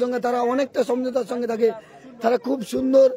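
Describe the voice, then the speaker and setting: Amid noticeable background noise, a man speaks at extremely high pitch with monotone, flat intonation. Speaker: live-stream football commentator and channel owner. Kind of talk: live commentary with viewer reprimand.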